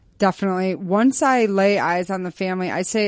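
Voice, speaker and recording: Over a quiet background, a woman speaks in an ordinary speaking voice with ordinary pitch variation. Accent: American. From New York State. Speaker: speech therapist. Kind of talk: casual interview. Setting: home basement.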